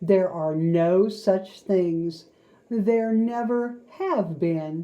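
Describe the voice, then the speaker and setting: This is a put-on character voice that sounds female. It has a medium pitch and moves at a very slow pace. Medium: read story. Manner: matter-of-fact.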